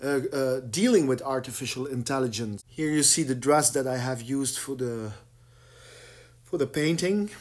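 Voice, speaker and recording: A man speaks in a fairly high pitch with a Flemish accent. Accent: Flemish Dutch accent in English. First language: Dutch. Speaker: painter. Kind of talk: explaining his own artwork. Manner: halting, many fillers and repetitions.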